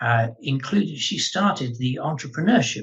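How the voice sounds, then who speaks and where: A man speaks with an English accent. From England. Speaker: lawyer and head of a legal training organisation. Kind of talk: webinar introduction.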